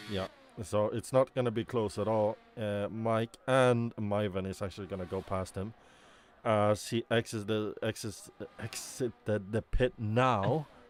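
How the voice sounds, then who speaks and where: Fairly low in pitch, a man speaks with a non-native accent at a fairly slow pace. The sound is dry and close, with no echo. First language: not English. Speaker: sim racing commentator. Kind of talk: live commentary. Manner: animated.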